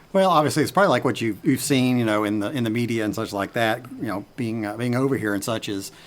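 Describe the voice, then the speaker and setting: Ordinary pitch variation at a very fast pace. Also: man, medium pitch for a man. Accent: American. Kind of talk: casual chat. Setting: outdoors on a porch.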